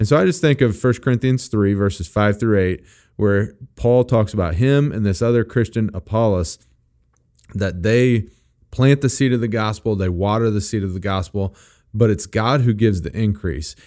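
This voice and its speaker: With an American accent, a man speaks in a dark, mellow tone at a fairly low pitch. His pace is moderate, his pitch varies in an ordinary way, and the recording is very clean with a silent background. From Missouri. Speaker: young adults pastor, podcast host. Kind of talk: casual chat about faith.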